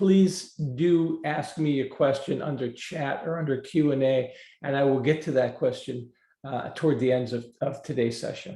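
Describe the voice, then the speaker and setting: Somewhat breathy delivery with a dark, mellow tone. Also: man, fairly high pitch for a man, ordinary pitch variation, moderate pace. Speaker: prevention program trainer. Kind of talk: webinar presentation. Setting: online webinar.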